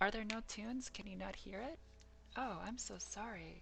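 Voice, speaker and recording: Room echo is audible. A soft-spoken woman talks with an American accent. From New York, Queens and Long Island. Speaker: miniature painting streamer. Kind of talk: casual live-stream tutorial. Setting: live stream.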